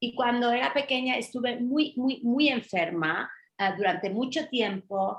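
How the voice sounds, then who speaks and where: The woman's high-pitched voice holds a very even loudness throughout. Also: lively intonation, fairly slow pace. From Mallorca, Spain (British mother). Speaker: journalist, food-allergy advocate. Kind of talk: interview testimony.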